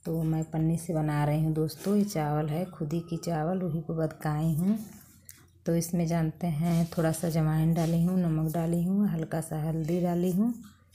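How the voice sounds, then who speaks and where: Somewhat breathy and in a dark, mellow tone, a woman with a fairly low pitch speaks at a fairly slow pace with monotone, flat intonation. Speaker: home vlogger. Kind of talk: casual vlog chat. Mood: sad, pleading for views. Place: street. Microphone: phone near.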